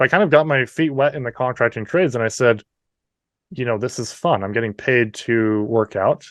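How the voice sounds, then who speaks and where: A man talks at a fairly quick pace with a slight Canadian accent. The sound is dry and close with no echo, against a quiet background. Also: medium pitch for a man, ordinary pitch variation. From New Brunswick, Canada. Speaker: entrepreneur. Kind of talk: interview.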